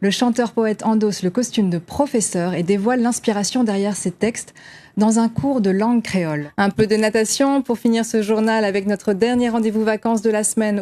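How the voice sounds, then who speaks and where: The sound is dry and close, with no echo, as a woman speaks at a moderate pace. She has an ordinary speaking voice and a fairly high pitch. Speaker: TV news presenter. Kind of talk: TV news broadcast anchor read. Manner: clear, professional, measured.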